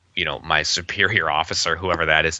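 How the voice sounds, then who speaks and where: A man with a Canadian Prairie accent talks at a very fast pace. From Canadian prairies, Winnipeg. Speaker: UFO field investigator and writer. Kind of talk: casual interview conversation.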